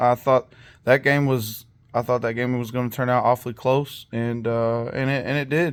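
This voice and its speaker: The recording is very clean, with a silent background. A man speaks at a medium pitch with monotone, flat intonation. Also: moderate pace. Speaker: fantasy football league commissioner. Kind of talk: casual recap video. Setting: home basement. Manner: casual with many fillers.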